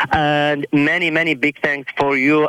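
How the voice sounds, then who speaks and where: Speaking at a fairly slow pace, a man is heard. Noticeable background noise runs underneath. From Iraq. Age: 20s. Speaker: church friend. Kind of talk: casual chat. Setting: phone call.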